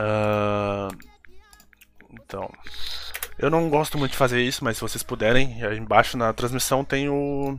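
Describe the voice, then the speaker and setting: Against noticeable background noise, a man speaks with a medium pitch. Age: 20s. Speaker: podcast host. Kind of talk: casual chat.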